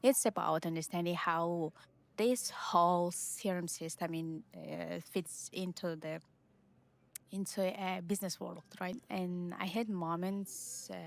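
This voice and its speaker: A woman speaks with a non-native accent. Her pitch sits fairly low. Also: ordinary pitch variation, fairly slow pace. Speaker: Salesforce admin and online course creator. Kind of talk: casual vlog talk to camera. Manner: halting, many fillers.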